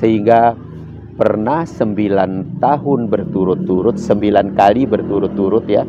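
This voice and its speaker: Lively intonation from a man at fairly low pitch and a fairly slow pace, over noticeable background noise. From Sumbawa, Indonesia. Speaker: cultural expert and choreographer. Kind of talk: interview.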